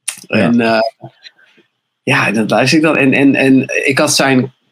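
A man with a medium pitch and ordinary pitch variation speaks in an ordinary speaking voice. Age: 20s. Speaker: video maker and musician. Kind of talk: casual chat.

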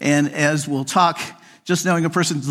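At a moderate pace, a man with a fairly high pitch speaks in a very clean recording with a silent background. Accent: Midwestern American. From US Midwest, near Kansas City. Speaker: psychologist and workplace speaker. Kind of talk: conference keynote talk. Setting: stage with audience. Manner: straightforward, practical.

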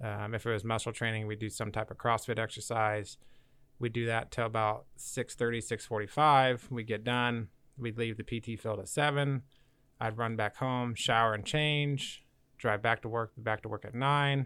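A man with a plain, everyday voice and an American accent speaks at a medium pitch. His pace is moderate and his intonation fairly even. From Kansas, Valley Center. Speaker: brewer, army veteran. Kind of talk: casual chat.

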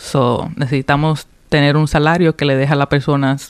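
A woman speaks with a very deep, low pitch in a dry, close recording with no echo. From Puerto Rico, of Dominican parents, raised in Rhode Island from 2003. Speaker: political candidate. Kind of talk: radio interview. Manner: hesitant, frequent fillers and code-switching.

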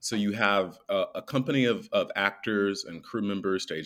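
In a very clean recording with a silent background, a man with an American accent and an ordinary speaking voice talks at a fairly slow pace and a fairly low pitch. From US South, small-town North Carolina. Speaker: musical theatre actor. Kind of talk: interview.

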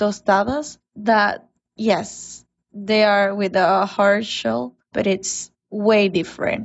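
A woman of medium pitch speaks at a very slow pace with a Spanish accent. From Mexico. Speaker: guest contributor. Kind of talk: prepared statement.

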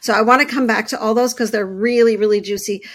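A woman speaks with a Canadian accent in a fairly high pitch. Hers is an unremarkable speaking voice, with fairly even intonation. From Canada, Montreal. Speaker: body-image coach and therapist. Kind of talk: interview conversation.

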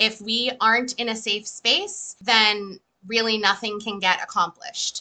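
A woman with a normal speaking voice talks at a fairly high pitch. Her pace is fairly slow, with ordinary pitch variation. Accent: American. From Massachusetts. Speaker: EFT practitioner. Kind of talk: casual interview.

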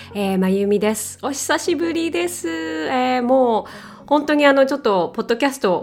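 A woman talks at a moderate pace with hardly any pauses, her pitch swinging very widely and her loudness swinging a lot. Noticeable background noise is present. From Japan. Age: 40s. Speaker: podcast host. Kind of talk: casual monologue. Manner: halting.

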